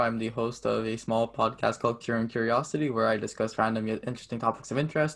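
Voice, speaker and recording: At a fairly quick pace, a man with a Canadian accent talks in a plain, everyday voice, medium in pitch and fairly even in intonation. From Canada. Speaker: amateur podcaster.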